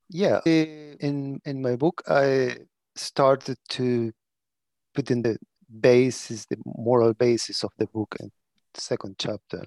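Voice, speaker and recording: In a Spanish accent, a man speaks at a very slow pace and medium pitch with ordinary pitch variation, dry and close with no echo. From Chile. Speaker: prison architecture lecturer and consultant. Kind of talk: interview. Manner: halting.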